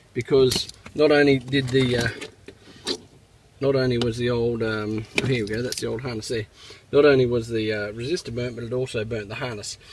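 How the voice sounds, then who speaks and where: Noticeable background noise sits behind fairly quick speech in an Australian accent. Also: man. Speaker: car repair video maker. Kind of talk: tutorial. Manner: casual, with many fillers.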